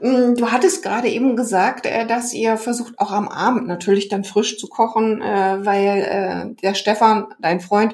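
Speaking at a very slow pace, a woman has a fairly high pitch. Her pitch variation is ordinary. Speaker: podcast host, nutrition therapist. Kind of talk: casual interview; podcast outro.

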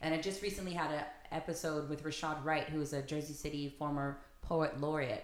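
A woman with an American accent speaks at a fairly quick pace in a very deep, low voice. Her intonation is monotone and flat, and her loudness stays very even. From US West Coast, San Diego. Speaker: actor and theater director. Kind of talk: casual chat.

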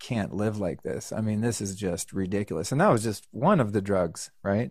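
On a very clean recording with a silent background, a man talks at a moderate pace with a medium pitch and ordinary pitch variation. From Northern California. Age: 50s. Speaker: motivational speaker and podcaster. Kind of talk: podcast interview.

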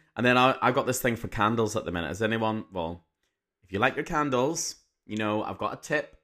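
Over a silent background in a very clean recording, a man with an English accent and a medium pitch speaks fairly quickly in a bright, sharp tone with lively intonation. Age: 30s. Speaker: teacher and podcast host. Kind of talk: casual monologue.

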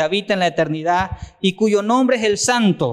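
Fairly quick speech with ordinary pitch variation on a very clean recording with a silent background. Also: man. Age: 50s. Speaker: church network leader preaching. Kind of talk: sermon.

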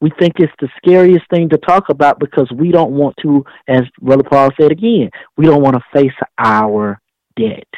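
An unremarkable speaking voice with ordinary pitch variation and a dry, close sound with no echo. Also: man. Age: 30s. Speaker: pastor and entrepreneur. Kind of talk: preaching-style interview talk. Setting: radio show.

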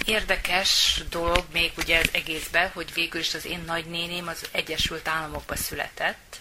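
A woman's fairly low, monotone, flat voice at a moderate pace with hardly any pauses amid noticeable background noise. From Hungary, Győr area. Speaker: doctor. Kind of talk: interview. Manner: halting.

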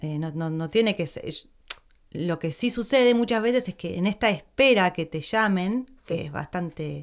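A woman's plain, everyday voice at a medium pitch, moderate in pace, with lively intonation. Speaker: podcast host, actress. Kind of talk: casual interview chat.

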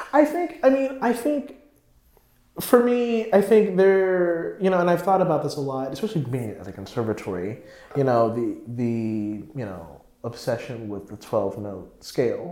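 In an American accent, a man with a dark, mellow tone and high pitch talks at a moderate pace, with very wide pitch swings and big swings in loudness. Audible room echo fills the recording. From North Carolina, US. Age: 20s. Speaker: composer and music student. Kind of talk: casual chat.

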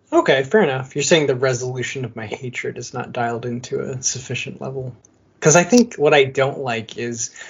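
With an American accent, a man talks at a fairly quick pace in a somewhat breathy voice. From Michigan, US Midwest. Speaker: beer podcast co-host. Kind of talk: casual chat.

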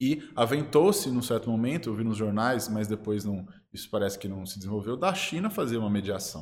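A man talks at a fairly quick pace with hardly any pauses, at a medium pitch with ordinary pitch variation. It is a plain, everyday voice. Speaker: international relations professor. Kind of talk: interview.

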